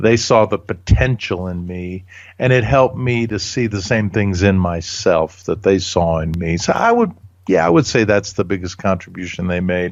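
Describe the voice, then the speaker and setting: A man speaks at a moderate pace. His pitch is very deep and low, with ordinary pitch variation. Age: 60s. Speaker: leadership author and speaker. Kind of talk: interview.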